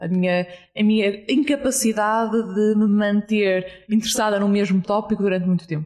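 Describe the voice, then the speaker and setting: Talking at a moderate pace, a woman has a plain, everyday voice at medium pitch with fairly even intonation. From Portugal, Porto. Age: 20s. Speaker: startup entrepreneur. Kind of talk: interview. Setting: hostel room in Lisbon.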